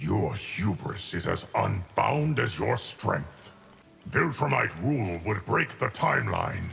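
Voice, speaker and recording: A man's put-on character voice, fairly low in pitch and fairly slow, over clear background noise. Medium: video game. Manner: grave, measured.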